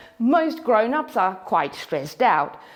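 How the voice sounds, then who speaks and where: Her high-pitched voice makes very wide pitch swings at a moderate pace, with noticeable background noise behind the woman. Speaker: hula hoop instructor. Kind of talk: motivational talk to camera.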